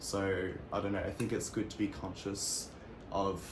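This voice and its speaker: A man with an Australian accent, fairly low in pitch and fairly slow in pace, amid noticeable background noise and audible room echo. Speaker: interviewee. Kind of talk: casual interview. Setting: at home.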